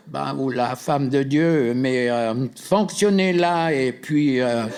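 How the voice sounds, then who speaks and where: Very slowly, a man speaks at medium pitch with ordinary pitch variation. Noticeable background noise and audible room echo come through. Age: 80s+. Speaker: deliverance minister. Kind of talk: deliverance prayer. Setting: seminar with live audience. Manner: commanding.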